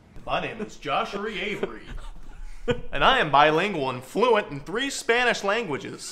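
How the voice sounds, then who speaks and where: A man puts on a robotic character voice at high pitch, speaking at a moderate pace over light background noise. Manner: monotone, robotic.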